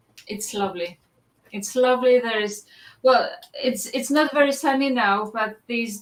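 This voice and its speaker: A woman with a Polish accent and fairly even intonation. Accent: Polish, non-native English. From Poland. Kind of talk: casual chat.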